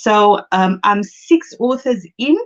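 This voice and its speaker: A woman's medium-pitched voice with a South African accent. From South Africa, Cape Town. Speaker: book coach and speaker. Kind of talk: live-stream motivational talk. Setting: Facebook live stream.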